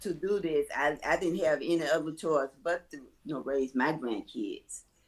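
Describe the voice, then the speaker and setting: A woman with a very deep, low voice talks at a moderate pace, with ordinary pitch variation. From US South, Mississippi. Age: 70s. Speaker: home daycare provider. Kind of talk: interview.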